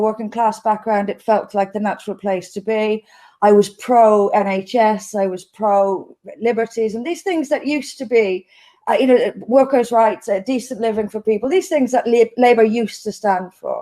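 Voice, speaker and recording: A woman's fairly high-pitched voice with a dark, mellow tone, at a moderate pace. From Ireland, Dublin. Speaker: politician. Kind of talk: interview.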